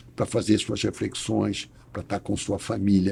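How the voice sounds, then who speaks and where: A man with vocal fry talks at a moderate pace. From Brazil, Rio de Janeiro. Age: 60s. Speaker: lawyer. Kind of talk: interview. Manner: hesitant with repetitions.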